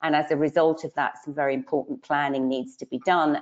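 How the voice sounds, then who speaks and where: Speaking at a fairly quick pace, a woman uses a very deep, low voice with monotone, flat intonation. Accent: British. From UK. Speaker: financial adviser. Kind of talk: webinar panel presentation. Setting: online webinar.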